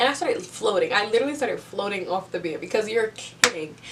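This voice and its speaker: Over noticeable background noise, a woman speaks at a medium pitch in an excited, animated tone. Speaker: book reviewer. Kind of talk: casual video review.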